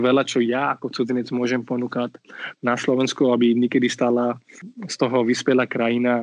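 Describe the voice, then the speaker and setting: A man's medium-pitched, monotone voice with an Indian accent at a moderate pace, in a dry, close sound with no echo. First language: Marathi (speaking Slovak). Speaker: community mediator. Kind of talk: interview. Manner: halting with many fillers.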